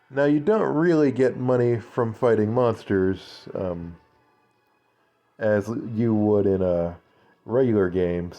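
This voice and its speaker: With music playing in the background, a man speaks fairly slowly in a fairly low pitch, using ordinary pitch variation. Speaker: let's play gamer. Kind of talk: casual gameplay commentary.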